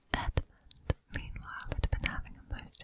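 A woman's breathy whispering at a moderate pace. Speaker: ASMR creator. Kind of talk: whispered audiobook reading. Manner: whispered, soft, breathy. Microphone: studio mic.

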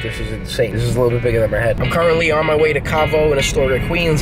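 A man talking at a very fast pace over loud music in the background. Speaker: DJ vlogger. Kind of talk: casual vlog chat. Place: car. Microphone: phone near.

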